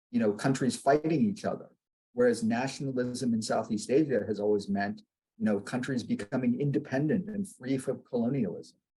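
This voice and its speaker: A man with an American accent talks at a fairly quick pace, his medium-pitched voice somewhat breathy and dark and mellow in tone. His intonation is lively. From United States. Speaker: academic panelist. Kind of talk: webinar panel discussion. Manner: hesitant, many fillers.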